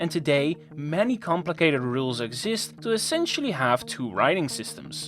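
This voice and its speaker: Delivered in a Dutch accent at a moderate pace. Music sits in the background. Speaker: educational YouTuber. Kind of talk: scripted narration.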